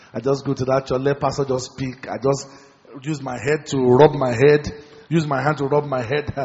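Over noticeable background noise, a man with a fairly high pitch speaks at a moderate pace in an animated tone. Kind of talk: sermon. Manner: animated, call-and-response preaching that urges the congregation to shout and pray; fervent, rhythmic, with repeated phrases and teaching asides.

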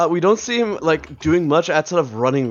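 A man with very wide pitch swings. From Israel. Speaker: podcast co-host. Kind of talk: casual chat.

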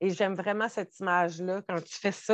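A woman with a Quebec accent speaks at a medium pitch with fairly even intonation. The sound is dry and close, with no echo and a quiet background. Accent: Québécois French. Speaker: spiritual podcast co-host. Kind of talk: casual conversation.

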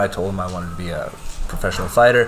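Fairly low in pitch, a man's voice comes through with audible room echo and noticeable background noise. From Lloydminster, Alberta, Canada. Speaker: kickboxing instructor and fighter. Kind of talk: interview with students. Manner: hesitant, many fillers.

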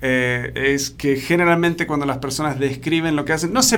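There is noticeable background noise and audible room echo. A man with a fairly high pitch speaks at a moderate pace with ordinary pitch variation. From Argentina. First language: English (speaking Spanish). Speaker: podcast host, leadership coach. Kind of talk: interview podcast.

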